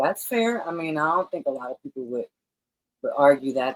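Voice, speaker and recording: With a New York accent, a woman speaks at a moderate pace and with lively intonation in a dry, close sound with no echo. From New York, Brooklyn. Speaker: podcast host. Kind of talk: interview.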